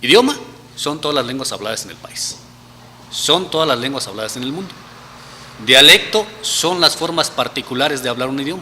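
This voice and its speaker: A man with fairly high pitch and lively intonation speaks at a moderate pace, with long, frequent pauses and big swings in loudness. There is noticeable background noise. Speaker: researcher. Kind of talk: interview.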